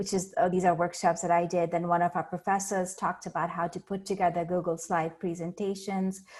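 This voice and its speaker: Speaking at a moderate pace, a woman with an Indian accent uses a medium pitch. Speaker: learning center staff. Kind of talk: presentation. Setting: video call.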